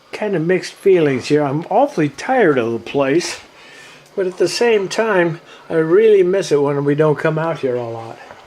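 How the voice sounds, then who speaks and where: There is noticeable background noise behind this man's voice. He speaks at a fairly high pitch with lively intonation. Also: moderate pace. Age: 70s. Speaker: vlogger. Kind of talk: casual video tour narration. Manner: halting.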